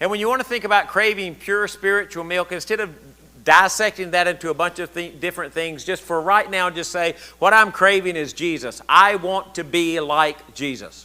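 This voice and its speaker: With a Southern US accent, a man speaks at a moderate pace in a high pitch and a bright, sharp tone with ordinary pitch variation, recorded very cleanly against a silent background. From US South. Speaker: pastor. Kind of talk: sermon. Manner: animated.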